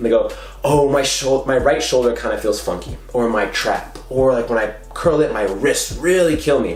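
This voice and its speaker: A man speaks in an animated tone, with audible room echo and noticeable background noise. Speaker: fitness coach and YouTuber. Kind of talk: casual tutorial talk to camera. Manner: fast.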